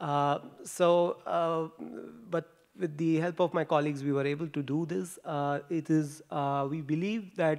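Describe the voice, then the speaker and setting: A man's fairly high voice at a fairly slow pace, with ordinary pitch variation, on a very clean recording with a silent background. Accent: Indian. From India. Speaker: postdoctoral researcher. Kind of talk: conference talk. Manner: halting, many fillers.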